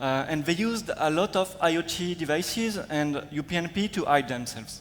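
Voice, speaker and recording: Ordinary pitch variation in a man's voice set fairly high for a man. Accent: French. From France. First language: French. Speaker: security researcher. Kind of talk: conference talk. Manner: hesitant, many fillers.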